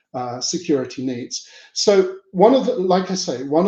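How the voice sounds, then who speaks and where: A man talks in a dark, mellow tone. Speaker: market research technology speaker. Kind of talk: webinar presentation.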